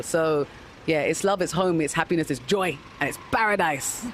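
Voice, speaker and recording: There is noticeable background noise as a woman speaks in a London accent. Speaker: interviewee. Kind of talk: vox pop interview.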